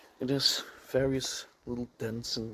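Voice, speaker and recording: A man's monotone, flat delivery at medium pitch, with a non-native accent. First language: not English. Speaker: car enthusiast vlogger. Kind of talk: car walkaround review. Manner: halting.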